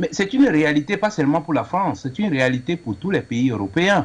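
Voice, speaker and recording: A man speaks with a fairly high pitch and very wide pitch swings. Noticeable background noise can be heard. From Cameroon. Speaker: caller. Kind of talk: call-in opinion.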